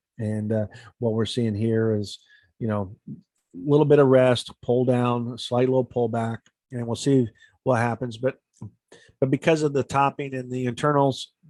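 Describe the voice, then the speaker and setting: On a dry, close recording with no echo, a man of medium pitch speaks at a moderate pace with fairly even intonation and long, frequent pauses. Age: 60s. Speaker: stock and options trader. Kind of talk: casual market commentary to camera.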